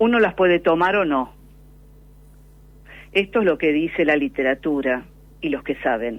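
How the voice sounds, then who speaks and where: At a moderate pace and with long, frequent pauses, a woman speaks in a very deep, low pitch. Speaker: pulmonologist. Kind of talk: radio interview answer. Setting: phone line.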